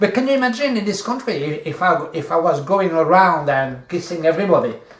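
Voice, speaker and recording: Over noticeable background noise and audible room echo, a man with a French accent speaks at a fairly quick pace. His pitch is high and his intonation lively. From France. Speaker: video host, coach. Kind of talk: casual chat. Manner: halting.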